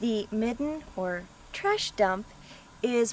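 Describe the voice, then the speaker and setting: With noticeable background noise behind her, a woman speaks at a very slow pace. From Colorado, USA. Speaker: archaeologist. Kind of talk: casual talk to camera, video audition. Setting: outdoors.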